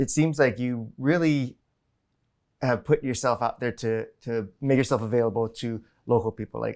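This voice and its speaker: Speaking at a moderate pace with fairly even intonation, a man with a medium-pitched voice and a Hawaiian accent comes through on a very clean recording with a silent background. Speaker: podcast host. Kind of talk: interview.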